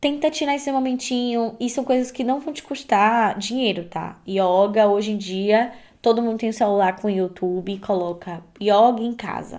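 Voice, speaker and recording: On a very clean recording with a silent background, a woman speaks in an animated tone at a fairly slow pace, with a fairly high pitch and ordinary pitch variation. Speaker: podcast host. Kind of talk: casual podcast monologue.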